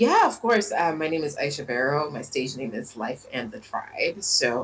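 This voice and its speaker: Amid noticeable background noise, a woman with a very deep, low pitch speaks at a moderate pace with very wide pitch swings. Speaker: singer-songwriter, hip-hop artist. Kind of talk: interview.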